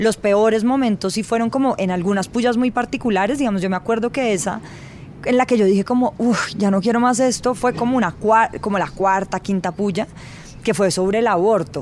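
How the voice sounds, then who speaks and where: A woman with a plain, everyday voice talks at a fairly quick pace and fairly high pitch. Her loudness stays very even, and her pitch varies in an ordinary way. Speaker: journalist. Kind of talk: interview.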